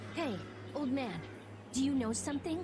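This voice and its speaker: Against loud background noise, a female-sounding voice with a high pitch mumbles through a put-on character voice at a fairly quick pace. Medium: video game. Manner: analytical, mumbling.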